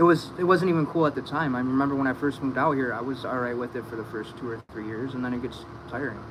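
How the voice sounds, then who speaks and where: Amid noticeable background noise, a man speaks at a very fast pace. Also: medium pitch for a man, ordinary pitch variation. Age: 30s. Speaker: recovering addict. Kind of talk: casual chat.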